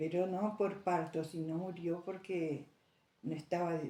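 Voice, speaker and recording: Fairly slowly and with fairly even intonation, a woman speaks in a fairly low pitch with a dark, mellow tone. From Argentina, Santa Ana. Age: 80s+. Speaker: elderly interviewee. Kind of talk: oral history interview. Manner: halting.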